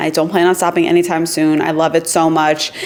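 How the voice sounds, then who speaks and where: A woman with an American accent, a fairly low voice and an animated tone, over noticeable background noise. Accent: New York accent, noticed by viewers. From New York. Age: 20s. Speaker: YouTuber. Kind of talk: casual Q&A chat to camera.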